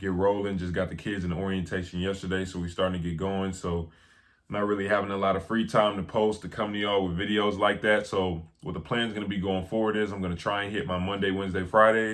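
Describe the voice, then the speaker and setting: A man with a fairly low pitch talks at a very fast pace. His intonation stays monotone and flat. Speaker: basketball film analyst. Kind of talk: casual vlog talk.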